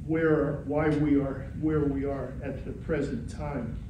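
A man talks very slowly amid noticeable background noise and audible room echo. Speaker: retired political science professor. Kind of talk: lecture. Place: meeting room. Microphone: camera far.

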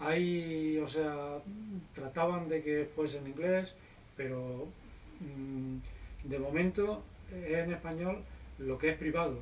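Light background noise accompanies a man speaking at a very slow pace. His intonation is fairly even, broken by long, frequent pauses. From Spain. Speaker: private pilot; guest. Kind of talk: casual interview; interview answer. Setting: visiting US flight school. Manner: hesitant, many fillers. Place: office. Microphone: camera far.

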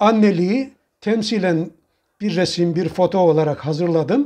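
In a dark, mellow tone, the speaker goes at a very slow pace with ordinary pitch variation over a quiet background. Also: man. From Trabzon, Turkey; Turkey. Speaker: retired imam and model house maker; retired imam. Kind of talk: interview. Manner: formal. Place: home room. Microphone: lapel.

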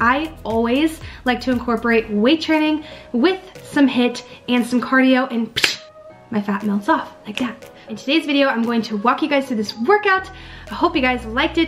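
A woman speaks at a high pitch with faint music in the background. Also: moderate pace. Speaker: fitness vlogger. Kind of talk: casual vlog chat. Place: home room. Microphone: webcam.

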